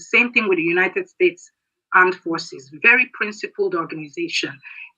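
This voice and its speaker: The speaker has a Nigerian accent. The pitch swings very widely. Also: woman. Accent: Nigerian Igbo English. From Nigeria, Igbo southeast. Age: 60s. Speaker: military veteran. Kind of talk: political speech.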